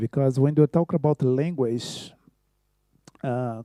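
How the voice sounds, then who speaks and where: Speaking at a fairly slow pace with a Brazilian Portuguese accent, a man has a dark, mellow tone at a medium pitch with ordinary pitch variation, heard in a very clean recording with a silent background and a dry, close sound with no echo. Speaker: choreographer. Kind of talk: conference talk. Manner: halting.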